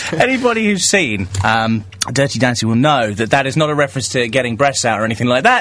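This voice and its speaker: Very fast, upbeat and animated speech from a man at medium pitch, with lively intonation, very even loudness and noticeable background noise. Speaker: radio host. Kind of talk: radio DJ patter: live phone-in show with bantering callers. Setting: studio. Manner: animated, quick-witted and teasing, cheeky sarcastic banter; upbeat, promotes the phone number with show-host energy.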